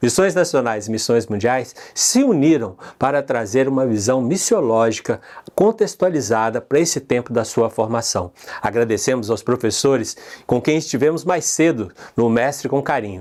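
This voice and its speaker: In a Minas Gerais accent, the speech has lively intonation and very even loudness. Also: man, medium pitch for a man, moderate pace. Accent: Minas Gerais (mineiro). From Brazil, Minas Gerais. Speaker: conference host. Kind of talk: conference opening address.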